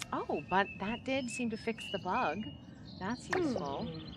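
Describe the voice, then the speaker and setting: Speaking at a very slow pace, a woman uses a medium pitch with very wide pitch swings. Background noise is noticeable. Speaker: vtuber, cozy gaming streamer. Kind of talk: relaxing gameplay commentary for sleep or unwinding. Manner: soft-spoken, relaxed, chatty.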